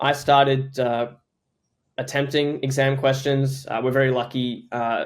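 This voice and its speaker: A man speaks in an Australian accent at a moderate pace. His intonation is monotone and flat. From Australia, Queensland. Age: young. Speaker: startup founder. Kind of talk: podcast interview.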